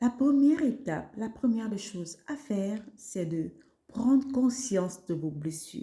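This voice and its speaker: Very slow, somewhat breathy female voice, dark and mellow, with very wide pitch swings. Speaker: wellness podcaster. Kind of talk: self-help podcast talk. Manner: animated.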